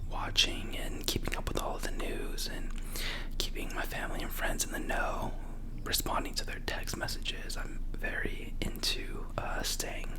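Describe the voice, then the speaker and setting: A man whispers in a relaxed tone at a moderate pace, with noticeable background noise. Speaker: ASMR creator. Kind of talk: casual ASMR ramble talk to camera. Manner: soft-spoken, relaxed, rambling.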